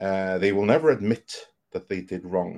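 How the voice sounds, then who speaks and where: With a Norwegian accent, a man speaks in a fairly low pitch with ordinary pitch variation. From Norway. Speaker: entertainment analyst and podcast host. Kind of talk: interview conversation. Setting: video call.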